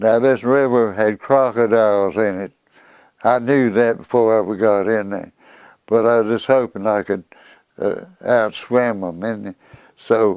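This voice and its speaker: Long, frequent pauses break up a man's speech, delivered at a fairly slow pace. He has a Southern US accent and fairly even intonation. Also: medium pitch for a man. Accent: Southern American. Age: 80s+. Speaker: war veteran. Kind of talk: interview answer. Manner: vivid storytelling.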